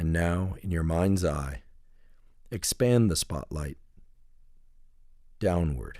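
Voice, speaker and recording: A man talks very slowly in a very deep, low, dark and mellow voice. Long pauses come frequently. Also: lively intonation. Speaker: neuroscientist guiding a relaxation protocol. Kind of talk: guided relaxation meditation. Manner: slow, calm, soothing, with long pauses.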